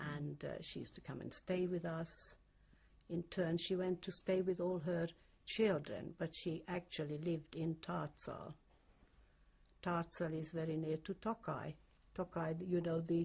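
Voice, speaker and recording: In a Hungarian accent, a woman speaks at a fairly low pitch with a dark, mellow, somewhat breathy tone. Her delivery is fairly slow, with monotone, flat intonation. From Hungary. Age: 60s. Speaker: Holocaust survivor. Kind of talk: oral history interview. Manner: halting.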